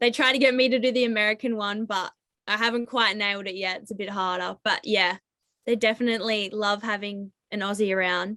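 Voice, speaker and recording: Her pitch is fairly high and her tone bright and sharp. The woman talks at a fairly quick pace with fairly even intonation. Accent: Australian. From Australia (Tasmania). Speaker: college basketball player. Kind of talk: interview. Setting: video call.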